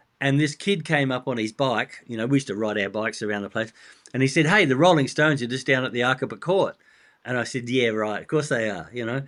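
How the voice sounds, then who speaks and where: Someone speaks at a very fast pace with an Australian accent against a quiet background. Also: man. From Australia, Adelaide. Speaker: rock drummer and author. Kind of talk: interview.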